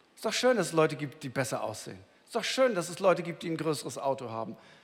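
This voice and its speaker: Racing along very fast, a man's voice leaps through very wide pitch swings. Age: 50s. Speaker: pastor. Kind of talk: sermon. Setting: church. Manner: conversational, addresses listener directly.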